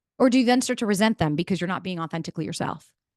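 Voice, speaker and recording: A woman with an American accent speaks in an animated tone with lively intonation, the sound dry and close with no echo over a quiet background. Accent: sounds like New York, per audience. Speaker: entrepreneur and podcaster, speaker. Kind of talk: motivational talk to live audience. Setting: room with live audience. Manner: fast.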